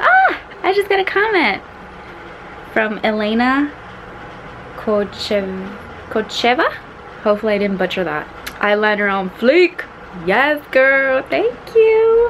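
A high-pitched woman at a very slow pace, with long, frequent pauses, over light background noise. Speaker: beauty vlogger. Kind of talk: casual vlog chat. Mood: cheerful, giddy. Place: home room. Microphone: phone near.

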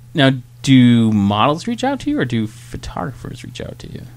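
Big swings in loudness mark a man's speech at a moderate pace. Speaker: podcast host. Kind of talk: casual chat. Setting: bar. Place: bar.

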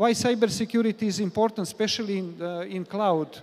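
A man speaks at a fairly quick pace with a high pitch and a slightly mellow tone. His pitch varies in an ordinary way.

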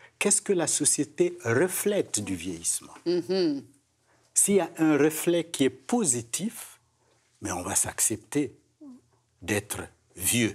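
Against a quiet background, the speaker's vocal fry comes with very wide pitch swings at a very slow pace. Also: man. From another culture, outside Quebec. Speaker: gerontologist; guest. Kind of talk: panel discussion. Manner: repeats words, stammering. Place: studio. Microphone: lapel.

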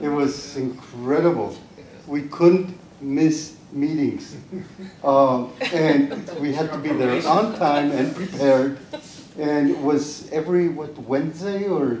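With noticeable background noise, a man speaks at a very slow pace with fairly even intonation. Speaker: panel member. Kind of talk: panel discussion reminiscence. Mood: warm, nostalgic, smiling. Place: meeting room. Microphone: handheld.

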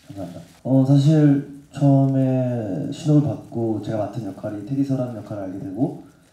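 A man speaks at a moderate pace in a dark, mellow tone with ordinary pitch variation, and audible room echo surrounds his voice. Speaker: singer and actor. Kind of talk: press conference answer. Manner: hesitant, polite. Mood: polite, calm, slightly nervous. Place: hall.

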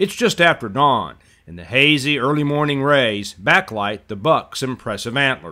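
Pace is moderate as a man speaks in a plain, everyday voice with lively intonation. His pitch sits at a medium level. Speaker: wildlife videographer narrator. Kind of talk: scripted nature narration, dramatic and hushed, building suspense.

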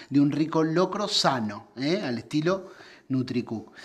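His speech, a man's, moves along at a moderate speed. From Argentina, Buenos Aires province. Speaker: interviewer. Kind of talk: interview. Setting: indoors during cooking show. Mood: relaxed, friendly. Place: home room.

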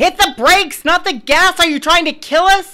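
Using a put-on character voice, a female-sounding speaker projects at a raised volume, extremely high in pitch, at a moderate pace. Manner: loud, firm, emphatic.

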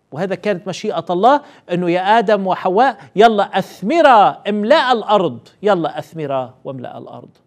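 Speaking at a fairly slow pace, a man uses a high pitch with very wide pitch swings. His loudness swings a lot, and the background is quiet. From Lebanon. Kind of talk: Bible teaching. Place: studio. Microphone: lapel.

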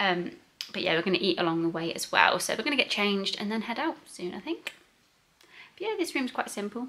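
A woman speaks with very wide pitch swings over light background noise. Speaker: travel vlogger. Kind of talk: casual vlog chat. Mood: cheerful, chatty. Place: home room. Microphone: phone near.

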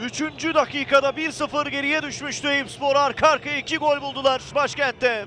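A man's raised, projected voice at extremely high pitch, monotone and flat, with hardly any pauses and crowd noise in the background. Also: moderate pace. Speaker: football commentator. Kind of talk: live football match commentary, highlights reel.

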